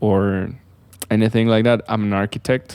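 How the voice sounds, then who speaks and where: A man with a non-native accent talks in a fairly low voice with a dark, mellow tone. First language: not English. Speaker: architect, video creator. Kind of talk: casual explainer. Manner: halting, with fillers.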